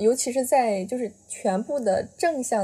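In a plain, everyday voice, a woman speaks at a fairly slow pace with lively intonation. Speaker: podcast host, overseas student. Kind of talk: casual chat.

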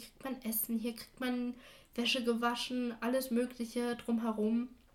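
With noticeable background noise behind her, a woman speaks at a fairly slow pace in a fairly high pitch with monotone, flat intonation. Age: 20s. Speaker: adoptee sharing her story. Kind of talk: interview.

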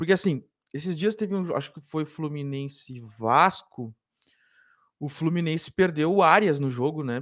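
A fairly high-pitched man's voice with ordinary pitch variation and long, frequent pauses. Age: 30s. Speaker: sports journalist. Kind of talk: casual sports debate. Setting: live online show.

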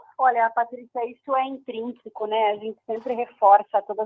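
A woman with a normal speaking voice, fairly high pitch and fairly even intonation. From Brazil, Curitiba (Paraná). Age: 30s. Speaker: patient advocate, founder of a cystic fibrosis institute. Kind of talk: radio interview.

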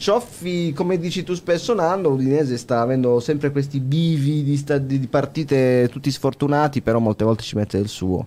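Here a man with a dark, mellow tone speaks at a fairly high pitch and a moderate pace. He barely pauses, and his pitch varies in an ordinary way. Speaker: football podcaster. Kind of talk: casual chat.

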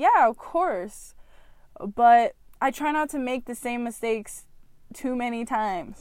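A woman with a high pitch and ordinary pitch variation talks at a fairly slow pace, leaving long, frequent pauses. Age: 20s. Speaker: podcast host. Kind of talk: personal monologue.

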